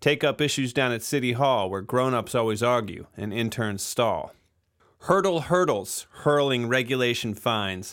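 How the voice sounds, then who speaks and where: A man speaks at a fairly slow pace in an unremarkable speaking voice. His pitch is medium, with ordinary pitch variation. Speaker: recording engineer and podcast host. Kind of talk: casual interview chat. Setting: studio.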